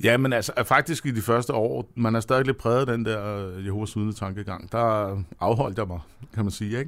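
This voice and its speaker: Here a man talks at a moderate pace. His pitch is medium and varies in an ordinary way. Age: 50s. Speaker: chairman of atheist society, former Jehovah's Witness. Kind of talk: radio interview. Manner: halting.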